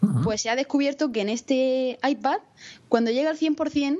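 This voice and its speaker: Ordinary pitch variation in a woman's high voice. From Spain, Murcia. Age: 20s. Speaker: podcaster and university student. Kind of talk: casual chat.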